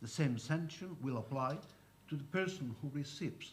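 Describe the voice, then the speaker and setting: A fairly high-pitched, somewhat breathy man's voice with a Spanish accent, ordinary pitch variation and audible room echo. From Spain. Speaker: lawyer. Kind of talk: conference talk. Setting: conference panel.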